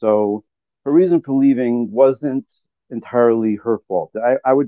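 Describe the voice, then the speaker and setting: A man at a moderate pace and medium pitch, an ordinary speaking voice. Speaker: caller. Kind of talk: casual chat. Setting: video call.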